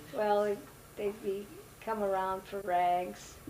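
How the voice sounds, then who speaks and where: A woman's medium-pitched voice with fairly even intonation amid noticeable background noise. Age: 80s+. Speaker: family matriarch, mother of eight. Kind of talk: interview answer. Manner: hesitant, reminiscing.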